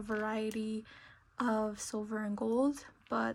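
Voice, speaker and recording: Here a woman speaks at a very slow pace. Her fairly high voice is somewhat breathy. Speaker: craft youtuber. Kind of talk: tutorial. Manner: hesitant, many fillers.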